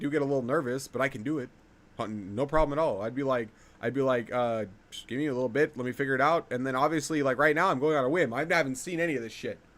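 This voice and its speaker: A man speaks at a very fast pace with a medium-pitched voice. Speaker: streamer reacting to videos. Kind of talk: live stream reaction commentary. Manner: animated, profane ranting.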